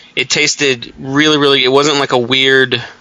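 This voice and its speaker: A man at a fairly quick pace in a relaxed tone, over noticeable background noise. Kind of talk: casual chat. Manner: profane, relaxed.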